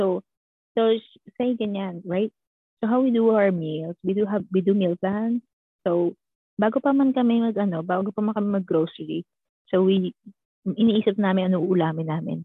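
Speaking in a Filipino accent, a woman talks at a fairly quick pace and medium pitch with ordinary pitch variation and long, frequent pauses. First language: Tagalog. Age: 20s. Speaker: bank teller and student. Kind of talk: casual interview chat.

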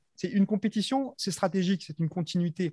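A man speaks at a fairly quick pace with a dark, mellow tone and ordinary pitch variation. The recording is very clean with a silent background, and the sound is dry and close with no echo. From Madagascar. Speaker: athlete and coach. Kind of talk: interview. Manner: halting.

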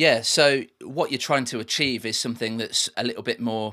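In an English Midlands accent, a man at medium pitch speaks with a bright, sharp tone and fairly even intonation. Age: 30s. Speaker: music producer and engineer. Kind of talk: interview. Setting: remote call.

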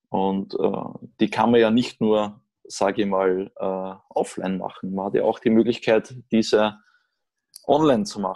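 Here a man is speaking. His pace is moderate. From Austria. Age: 30s. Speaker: orthopedic surgeon. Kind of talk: casual interview.

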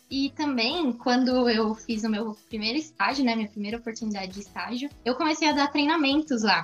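A woman speaks at a high pitch and a fairly quick pace, with hardly any pauses. Her pitch variation is ordinary, and music plays in the background. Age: 20s. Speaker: career mentor, company founder. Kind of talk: casual interview.

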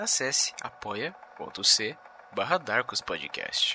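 A male voice is heard here. Behind him, background noise is clearly noticeable. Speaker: podcast announcer. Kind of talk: scripted intro announcement.

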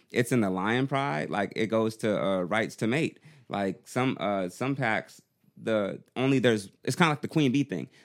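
A man with a medium pitch talks at a moderate pace with lively intonation, on a very clean recording with a silent background. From US South, Augusta, Georgia. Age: 30s. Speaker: rapper. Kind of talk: casual chat.

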